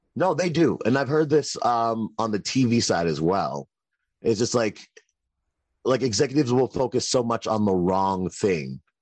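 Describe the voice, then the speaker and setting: A man at medium pitch swings very widely up and down while keeping his loudness very even, with a quiet background behind him. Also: moderate pace. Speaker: comedian. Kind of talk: casual chat.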